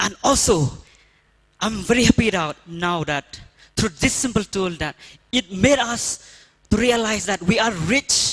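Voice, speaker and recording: A man with a Northeast Indian accent, lively intonation, a fairly slow pace and long, frequent pauses, in a dry, close sound with no echo. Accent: Indian (Khasi) English. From Meghalaya, India. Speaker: rural development worker. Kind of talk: conference talk.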